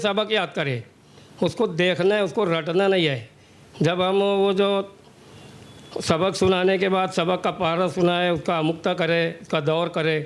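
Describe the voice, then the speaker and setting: A man talks at a high pitch with very even loudness. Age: 60s. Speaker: hafiz, powerloom worker. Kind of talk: interview.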